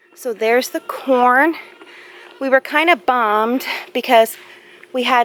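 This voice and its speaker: Noticeable background noise sits behind a woman with a high pitch and an American accent, recorded with a dry, close sound and no echo. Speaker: home gardener vlogger. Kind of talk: casual garden tour vlog. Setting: outdoors in yard.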